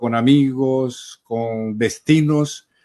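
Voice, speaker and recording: The man's pitch is medium and his intonation fairly even. The sound is dry and close, with no echo. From Colombian Caribbean coast, Cartagena. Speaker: journalist. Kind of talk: interview. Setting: video call.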